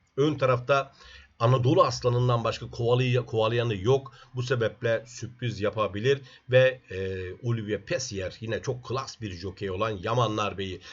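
At a moderate pace, a somewhat breathy voice talks with ordinary variation in pitch. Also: man, medium pitch for a man. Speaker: horse racing tipster. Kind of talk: racing predictions monologue. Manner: fillers and hesitations.

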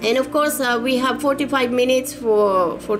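Over noticeable background noise, a woman speaks with a high pitch and ordinary pitch variation. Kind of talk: casual promotional talk. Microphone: webcam.

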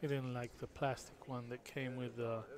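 A man speaks with audible room echo. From Israel. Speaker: billiards photographer and co-commentator. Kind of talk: live sports commentary.

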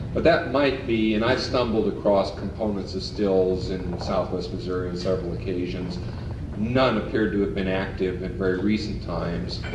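A man speaks at a moderate pace in a very deep, low pitch. Noticeable background noise can be heard. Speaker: lecturer on folk culture. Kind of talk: lecture. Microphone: old recording.

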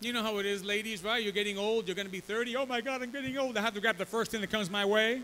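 Raised and projected, a man's high voice races at a very fast pace with hardly any pauses and fairly even intonation, light noise in the background. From New York City, Bronx (Puerto Rican family). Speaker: pastor. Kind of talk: sermon with live interpreter. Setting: church. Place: church. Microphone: podium.

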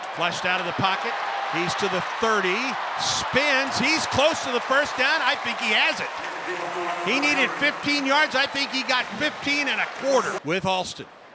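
A man talks at a fairly slow pace in an extremely high pitch with lively intonation. Crowd noise runs in the background. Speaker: football radio commentator. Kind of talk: sports commentary. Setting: stadium game broadcast highlights. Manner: crisp, urgent rhythm with short clipped phrases. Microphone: headset.

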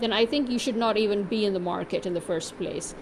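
A woman speaks at a fairly quick pace with a fairly high pitch. Her intonation is lively, and there is light background noise. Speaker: vlogger. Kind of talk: angry rant; consumer complaint. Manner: indignant, sarcastic; emphatic, repetitive. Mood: irritated, complaining. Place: home room. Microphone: phone near.

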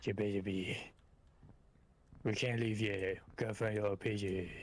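A man's put-on character voice, stern in tone, fairly low in pitch, at a fairly slow pace. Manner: strained, stern.

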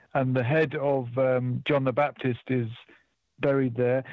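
Against a quiet background, a man speaks at a fairly slow pace, the sound dry with no echo. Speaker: radio caller. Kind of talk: phone-in conversation, personal travel account. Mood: calm, reflective storytelling. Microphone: phone line.

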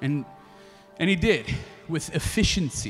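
A man talks at a moderate pace with very wide pitch swings. Faint music plays in the background. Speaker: spoken word artist and slam poet; slam poet. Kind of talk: live storytelling performance. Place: stage. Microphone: handheld.

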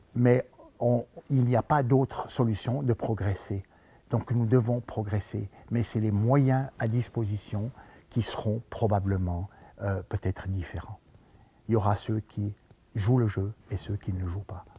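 At a fairly slow pace with long, frequent pauses, a man speaks at a fairly low pitch with a dark, mellow tone, a somewhat breathy quality and fairly even intonation. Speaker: sports coach, trainer. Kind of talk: interview answer. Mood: reflective, earnest. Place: hall. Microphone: headset.

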